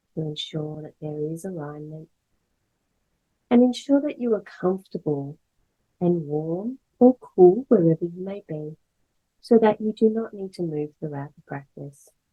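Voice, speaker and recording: Music plays behind a woman whose pitch is fairly low. Her speech has long, frequent pauses. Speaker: yoga nidra instructor. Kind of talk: guided meditation. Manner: slow, calm.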